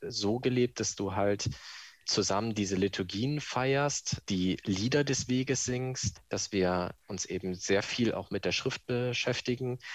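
A man talks at a fairly slow pace in an unremarkable speaking voice, medium in pitch with ordinary variation. The background is quiet. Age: 20s. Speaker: office clerk. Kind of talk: recorded testimony.

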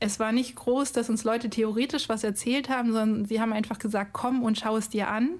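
A woman speaks at a fairly quick pace in an ordinary speaking voice, her fairly high pitch held in fairly even intonation, on a very clean recording with a silent background. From Cologne, Germany. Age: 30s. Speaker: biostatistician. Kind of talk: recorded testimony.

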